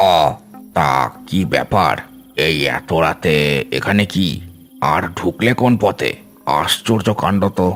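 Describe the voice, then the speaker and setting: A man performs a cartoonish character voice, very deep and low in pitch, with lively intonation. He goes at a fairly slow pace with very even loudness, and clear music plays in the background. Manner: gruff, wary.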